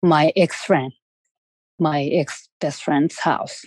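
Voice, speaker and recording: The speaker has a Japanese accent, a dark, mellow tone and a very slow pace. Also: woman. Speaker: parent of an abducted child. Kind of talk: interview testimony. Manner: halting, many fillers.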